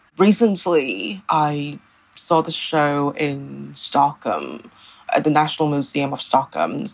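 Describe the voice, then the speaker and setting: Delivery is very slow. The intonation stays lively throughout. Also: woman. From Hong Kong. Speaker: art journalist. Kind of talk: interview. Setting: remote call from home.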